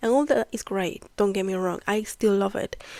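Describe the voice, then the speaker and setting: Speaking in a Spanish accent at a medium pitch, a woman keeps a fairly even intonation on a very clean recording with a silent background. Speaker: podcast host, spiritual teacher. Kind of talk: casual monologue, spiritual talk. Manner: hesitant, conversational.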